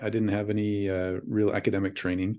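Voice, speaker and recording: A man with an American accent talks at a very fast pace and a fairly low pitch. The background is quiet. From US Pacific Northwest, Washington state. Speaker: professor. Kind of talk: interview.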